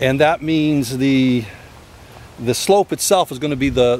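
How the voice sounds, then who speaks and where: At a moderate pace, a man speaks in a dry sound with no echo, with light background noise behind him. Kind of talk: casual vlog chat. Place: open country. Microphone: phone near.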